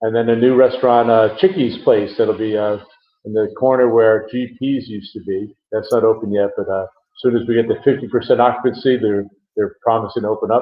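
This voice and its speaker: With an ordinary speaking voice at medium pitch, a man speaks at a fairly quick pace and with fairly even intonation. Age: 60s. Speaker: property developer executive. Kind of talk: interview.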